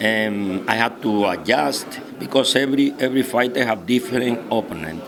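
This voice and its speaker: A man talks with ordinary pitch variation amid audible room echo and noticeable background noise. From Cuba. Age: 60s. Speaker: boxing trainer. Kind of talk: interview. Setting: press conference venue. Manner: halting.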